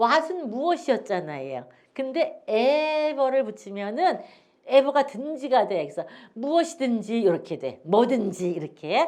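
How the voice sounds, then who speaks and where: A woman speaks with a high pitch and very wide pitch swings. The background is quiet. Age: old. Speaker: English teacher and pastor. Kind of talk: casual chat; lecture.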